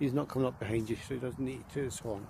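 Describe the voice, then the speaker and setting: With fairly even intonation, a man speaks at medium pitch in a dark, mellow, somewhat breathy tone. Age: 60s. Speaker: vlogger. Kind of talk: casual walking vlog monologue. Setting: outdoors, walking by the river.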